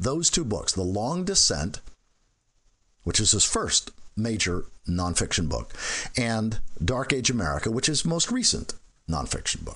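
A man at a fairly slow pace, with long, frequent pauses, over a quiet background. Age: 50s. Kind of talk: casual chat.

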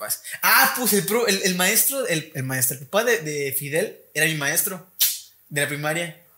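A man with a Mexican accent speaks at a high pitch and a moderate pace in a bright, sharp tone. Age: 20s. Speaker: university student and podcast host. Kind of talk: casual chat.

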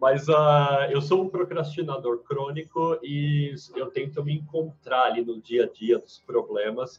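A somewhat breathy man at a fairly high pitch moves at a fairly slow pace with hardly any pauses and ordinary pitch variation. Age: 30s. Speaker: marketing professional, former freelancer. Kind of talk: casual chat.

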